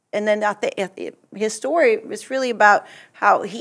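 A woman with a Portuguese accent. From Brazil. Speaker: church mission trip member and translator. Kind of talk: casual chat.

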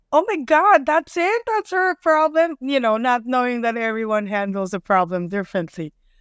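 A woman with a high pitch talks at a moderate pace with hardly any pauses and very wide pitch swings, on a very clean recording with a silent background and a dry, close sound with no echo. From Manila, Philippines. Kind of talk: casual interview. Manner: candid, profane.

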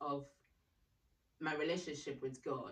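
A woman's very deep, low voice at a moderate pace, with fairly even intonation. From Ghana. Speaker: radiography graduate, church member. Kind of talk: casual interview chat.

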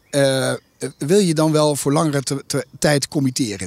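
This is a man's voice. His pitch is fairly high. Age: 50s. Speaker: investment company CEO. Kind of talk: interview. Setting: outdoors in a garden. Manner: hesitant with frequent fillers.

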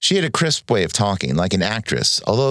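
At a fairly quick pace, a man speaks at a fairly low pitch with vocal fry and very wide pitch swings, in a very clean recording over a silent background. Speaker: writer and teacher. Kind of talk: interview conversation, with a stretch of noir fiction read aloud. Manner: relaxed, conversational, articulate.

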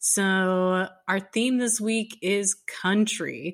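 Her tone is bright and sharp, at a medium pitch with ordinary variation. The woman speaks very slowly on a very clean recording with a silent background. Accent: American. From Texas. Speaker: podcast co-host. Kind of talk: casual chat.

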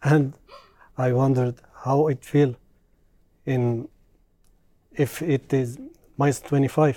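The speech carries a strong Arabic accent at a fairly slow pace. Long, frequent pauses come throughout. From Syria. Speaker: Syrian refugee, employee.

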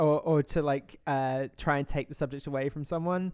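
A man with a British accent, fairly high in pitch, in monotone, flat intonation at a moderate pace, in a very clean recording with a silent background. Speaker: podcast co-host. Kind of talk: casual chat.

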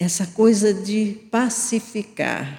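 The woman talks very slowly, her pitch sitting in the medium range. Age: 70s. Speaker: spiritist lecturer. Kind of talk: religious talk.

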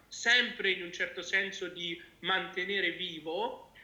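A man's voice is raised and projected. He speaks at a very slow pace. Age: 20s. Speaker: patient advocate. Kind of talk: interview.

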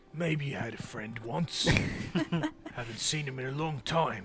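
Over clear background music, a put-on character voice moves at a moderate pace with ordinary pitch variation. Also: man, medium pitch for a man. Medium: actual play. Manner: hostile, coarse, swearing.

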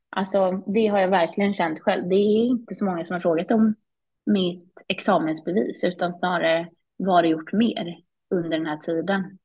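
At a moderate pace, a woman with a medium-pitched, somewhat breathy voice speaks with fairly even intonation. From Sweden, Småland (Vimmerby). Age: 20s. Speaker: business executive, former CEO. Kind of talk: casual interview.

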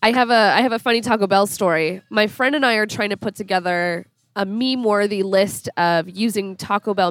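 With an unremarkable speaking voice, a woman talks in a medium pitch and ordinary pitch variation at a moderate pace, captured in a very clean recording against a silent background. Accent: American. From Minneapolis, US Midwest. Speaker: feminist blogger and writer. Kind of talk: casual chat. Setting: in a taco restaurant.

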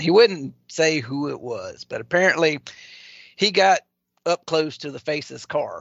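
A man speaks with a Louisiana accent at a moderate pace. His pitch varies in an ordinary way. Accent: Southern US, Louisiana. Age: 40s. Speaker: wrestling commentator guest. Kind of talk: live stream casual chat.

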